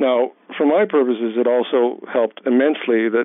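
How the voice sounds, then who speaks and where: A man talks at a fairly quick clip in a medium voice. Noticeable noise sits behind him. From Hawaii. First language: German. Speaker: history professor. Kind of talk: interview. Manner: many hesitations and repeated words.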